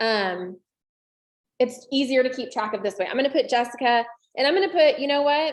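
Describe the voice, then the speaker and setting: Her voice high, a woman talks at a fairly quick pace with lively intonation, broken by long, frequent pauses. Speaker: real estate trainer. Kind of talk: tutorial. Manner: fast.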